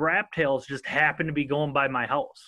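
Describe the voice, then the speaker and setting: A man speaks with a Minnesotan accent at a fairly high pitch. His tone is bright and sharp. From southern Minnesota. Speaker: podcast host. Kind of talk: casual interview chat. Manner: casual, joking.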